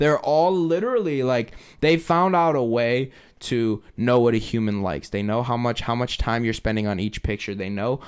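In a very clean recording with a silent background, a man speaks in an ordinary speaking voice at a medium pitch and moderate pace, with ordinary pitch variation. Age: 20s. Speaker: painter and local musician. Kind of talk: casual chat. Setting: studio.

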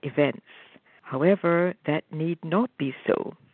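At a fairly slow pace, a woman talks in an unremarkable speaking voice with a fairly low pitch. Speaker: spiritual co-presenter. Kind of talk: reading aloud. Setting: phone call.

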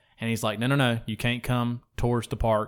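A man speaks at a fairly quick pace in a plain, everyday voice. His pitch sits in the medium range. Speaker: podcast host. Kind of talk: casual banter.

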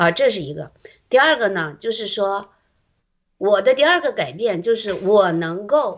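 The delivery moves at a fairly slow pace. Its pitch ranges very widely, up and down. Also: woman, medium pitch for a woman. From Shandong, rural China. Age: 50s. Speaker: church member sharing testimony. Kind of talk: testimony.

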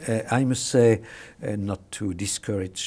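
A fairly low-pitched man's voice with a French accent, somewhat breathy, with a dark, mellow tone. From France. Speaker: international law professor. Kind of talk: interview. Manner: halting, many hesitations and repetitions.

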